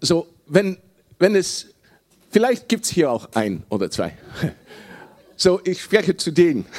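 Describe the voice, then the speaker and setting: Using a high pitch and lively intonation, a man speaks at a very slow pace with long, frequent pauses. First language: Dutch (speaking German). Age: 60s. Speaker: preacher. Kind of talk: sermon. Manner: halting.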